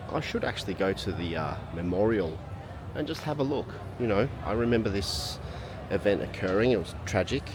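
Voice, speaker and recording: A man with an Australian accent speaks at a fairly quick pace in a relaxed tone, his fairly low voice rising and falling with lively intonation over noticeable background noise. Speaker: travel vlogger. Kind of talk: travel vlog monologue. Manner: casual, relaxed.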